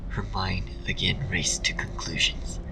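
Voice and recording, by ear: Whispering with vocal fry at a fairly slow pace. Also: man.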